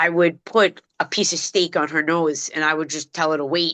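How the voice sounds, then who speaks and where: A woman's fairly low voice with a Brooklyn accent. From New York City, Brooklyn (Bensonhurst). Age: 50s. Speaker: dog trainer. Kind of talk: podcast interview. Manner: casual street-style speech.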